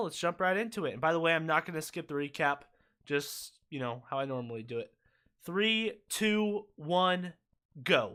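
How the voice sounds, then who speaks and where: In a very clean recording with a silent background, a man speaks at a moderate pace with lively intonation. His voice is high-pitched, with a bright, sharp tone. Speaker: YouTube watch party streamer. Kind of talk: live stream casual chat. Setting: live stream.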